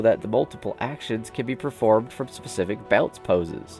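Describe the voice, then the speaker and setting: Music plays in the background as a man talks at a fairly quick pace. His pitch variation is ordinary. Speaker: YouTuber reading a game development report. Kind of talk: reading a report aloud.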